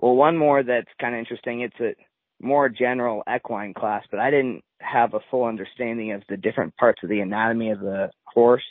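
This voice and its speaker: A man with an American accent has an unremarkable speaking voice at a medium pitch. He speaks at a fairly quick pace with ordinary pitch variation. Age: 20s. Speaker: racehorse owner and university student. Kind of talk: interview.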